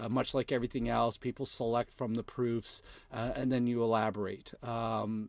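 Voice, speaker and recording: Here a man with a Canadian accent has an ordinary speaking voice at a medium pitch, on a very clean recording with a silent background. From Canada. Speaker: video content creator. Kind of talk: live tutorial. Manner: casual, many fillers.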